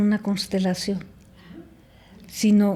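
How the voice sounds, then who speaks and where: A woman's dark, mellow, somewhat breathy voice at a very slow pace. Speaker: family constellations guest. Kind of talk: interview answer.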